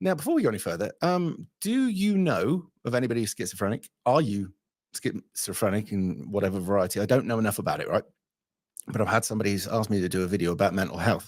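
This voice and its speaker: Very clean recording, silent background: a man with an English accent talks very fast. His fairly low voice has lively intonation. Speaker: livestream host taking callers. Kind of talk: casual live stream chat.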